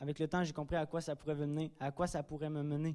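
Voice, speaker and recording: Speaking at a moderate pace, a man has a fairly high pitch. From Drummondville, Quebec. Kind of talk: testimony. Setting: church.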